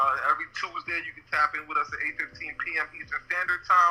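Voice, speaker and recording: Music plays behind the speaker, a man. He talks at a moderate pace. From New York, Brooklyn. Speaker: podcast host. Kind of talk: casual chat.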